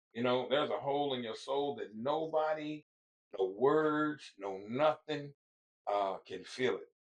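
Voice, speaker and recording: A man with an American accent speaks at a fairly slow pace in a fairly high pitch, with ordinary pitch variation. It is an unremarkable speaking voice. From Fort Worth, Texas (Stop Six). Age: 60s. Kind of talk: casual chat. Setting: livestream.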